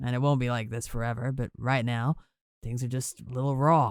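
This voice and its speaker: A man puts on a gravelly character voice at medium pitch, talking at a fairly quick pace. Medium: read story. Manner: calm.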